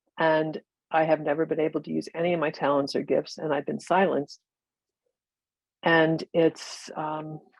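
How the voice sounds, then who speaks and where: Speaking at a moderate pace, a woman with a very deep, low pitch uses monotone, flat intonation with vocal fry, the sound dry and close with no echo. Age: 70s. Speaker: audience member on video call. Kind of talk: testimony. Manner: halting.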